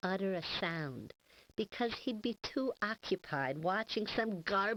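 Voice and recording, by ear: A passage is being read aloud in a natural voice.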